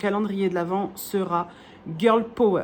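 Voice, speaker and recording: Ordinary pitch variation at a moderate pace. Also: woman. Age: 30s. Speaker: wool dyer and craft vlogger. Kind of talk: casual vlog chat. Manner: hesitant, many fillers.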